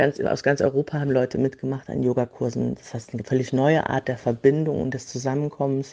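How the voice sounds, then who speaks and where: A woman with a very deep, low pitch and a dark, mellow tone talks at a fairly quick pace with hardly any pauses, showing vocal fry, fairly even intonation, and big swings in loudness. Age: 40s. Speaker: yoga teacher. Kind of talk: voice message.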